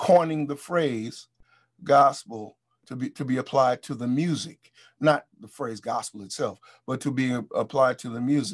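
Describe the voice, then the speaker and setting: Quiet background, a man with an American accent, medium pitch, ordinary pitch variation and a fairly slow pace. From US, Baltimore (East Baltimore). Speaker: musician and music historian. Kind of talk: interview lecture on music history. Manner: halting, many repetitions.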